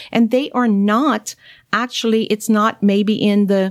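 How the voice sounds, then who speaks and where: A woman with a strong Cajun accent speaks in a very clean recording over a silent background. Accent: thick Cajun. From Louisiana, Cajun. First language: French. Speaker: naturopathic doctor. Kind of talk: interview.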